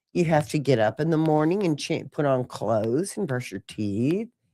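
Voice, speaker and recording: A woman talks at a moderate pace in a very deep, low voice with a dark, mellow tone. Her pitch swings very widely, and the recording is very clean with a silent background. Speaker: podcast co-host. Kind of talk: casual chat. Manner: halting.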